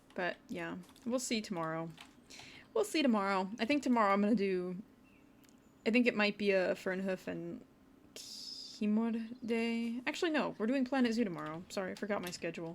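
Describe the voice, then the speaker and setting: On a very clean recording with a silent background, a woman of medium pitch speaks at a moderate pace with ordinary pitch variation and long, frequent pauses. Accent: Wisconsin. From US Midwest, Wisconsin. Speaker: video game streamer. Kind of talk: casual livestream commentary.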